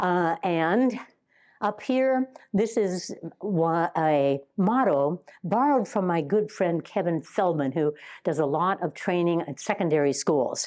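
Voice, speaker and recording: A normal speaking voice talks fairly slowly with lively intonation. The background is quiet. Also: woman, fairly low pitch for a woman. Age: 60s. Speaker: educational consultant and workshop presenter. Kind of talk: teacher training workshop. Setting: live workshop with audience. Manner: interactive, prompting audience responses.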